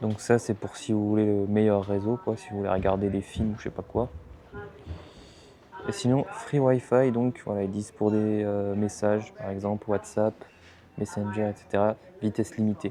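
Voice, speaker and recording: Over noticeable background noise, a soft-spoken man talks at a moderate pace with fairly low pitch, fairly even intonation and long, frequent pauses. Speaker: travel vlogger. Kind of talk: casual vlog narration. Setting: lounge aboard a ferry.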